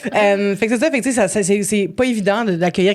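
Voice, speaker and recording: With a medium pitch, a woman rattles off her words very quickly. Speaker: podcast guest. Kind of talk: casual chat. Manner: fast.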